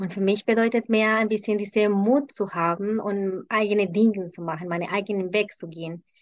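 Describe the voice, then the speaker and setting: Speaking fairly quickly with hardly any pauses, a woman with a Spanish accent holds a medium pitch and fairly even intonation. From Colombia. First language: Spanish (speaking German). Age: middle-aged. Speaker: intercultural consultant. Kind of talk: casual interview. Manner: halting with fillers.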